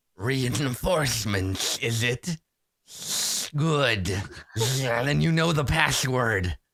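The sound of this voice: A man speaks in a put-on character voice at a medium pitch, with a hissing quality. His pace is very slow, broken by long, frequent pauses.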